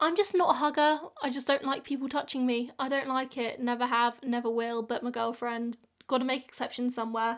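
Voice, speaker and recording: With an English accent, a woman speaks at a high pitch and with fairly even intonation. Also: fairly quick pace. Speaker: YouTuber. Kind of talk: casual chat.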